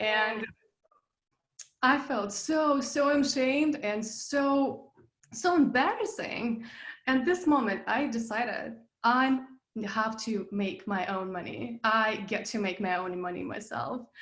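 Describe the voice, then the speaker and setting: Very slow speech from a woman, fairly high in pitch, with lively intonation and audible room echo. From Russia. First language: Russian. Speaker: business coach, passive income expert. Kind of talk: interview. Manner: animated.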